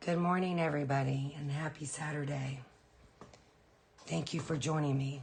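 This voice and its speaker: Flat, monotone delivery with long, frequent pauses is heard in a room with noticeable echo. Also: woman, very deep, low pitch for a woman, moderate pace. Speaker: painting instructor. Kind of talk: tutorial.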